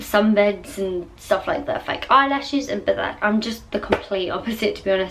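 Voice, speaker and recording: Noticeable background noise behind a woman's moderate-paced talk in a medium pitch. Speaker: vlogger. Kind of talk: casual chat. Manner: soft-spoken.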